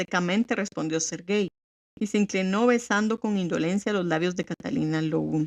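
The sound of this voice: This is an unforced reading voice with ordinary pitch variation over a quiet background.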